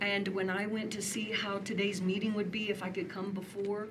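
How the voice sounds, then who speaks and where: Amid noticeable background noise and audible room echo, a woman speaks at a medium pitch. Her intonation is monotone and flat, and her pace moderate. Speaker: public commenter at city meeting. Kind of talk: public comment at city commission meeting. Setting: city commission meeting with large crowd. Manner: emotional, impassioned.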